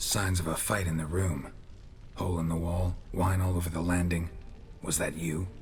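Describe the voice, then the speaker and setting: A man's put-on character voice, very deep and low, over clear background noise. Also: moderate pace. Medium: actual play. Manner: terse, dry, deadpan.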